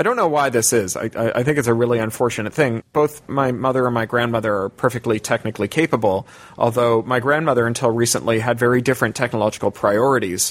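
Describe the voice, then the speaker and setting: Delivery is very fast, with hardly any pauses, very even loudness and fairly even intonation. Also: man, medium pitch for a man. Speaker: science fiction writer and activist. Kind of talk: interview. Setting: remote call from London.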